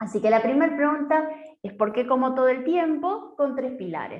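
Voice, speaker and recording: With an Argentine accent, a high-voiced woman talks at a moderate pace with lively intonation, and room echo can be heard. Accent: Argentine Spanish (Rioplatense). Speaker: nutritionist. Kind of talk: online talk/workshop.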